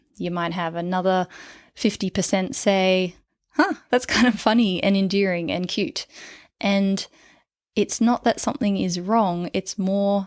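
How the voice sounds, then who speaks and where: In a very clean recording with a silent background, a woman with an Australian accent speaks fairly slowly at a medium pitch, dry and close with no echo. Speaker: clinical psychologist and dating coach. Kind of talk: podcast monologue. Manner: stumbles over words when excited.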